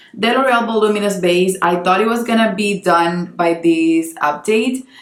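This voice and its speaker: Speaking at a moderate pace with very even loudness, a woman of medium pitch shows ordinary pitch variation over noticeable background noise. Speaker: beauty youtuber and makeup artist. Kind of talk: casual product review talk to camera.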